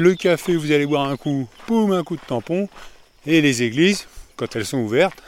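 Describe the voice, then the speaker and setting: Delivered at a fairly quick pace, the speech comes in an ordinary speaking voice with ordinary pitch variation. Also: man. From Paris. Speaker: podcaster walking a pilgrimage route. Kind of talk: travel audio diary. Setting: outdoors walking.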